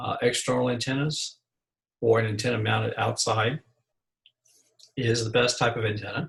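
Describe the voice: A man's medium pitch with a fairly bright tone, a slightly husky edge and vocal fry, fairly even intonation at a moderate pace.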